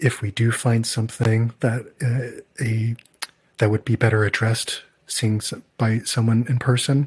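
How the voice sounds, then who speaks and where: A somewhat breathy male voice at a medium pitch, monotone and flat, with a dry, close sound with no echo. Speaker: audiologist and podcast co-host. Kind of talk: casual chat.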